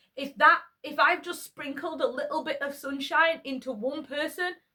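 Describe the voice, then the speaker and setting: A woman speaks in a raised, projected voice. Her accent is a Yorkshire accent. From Yorkshire, northern England. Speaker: YouTuber. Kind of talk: casual monologue vlog. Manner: conversational, with hesitations.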